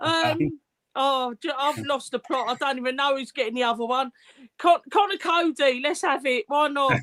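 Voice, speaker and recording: A woman speaks at a high pitch with ordinary pitch variation. She keeps a moderate pace. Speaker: fan podcast host. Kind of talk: casual chat. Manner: loud.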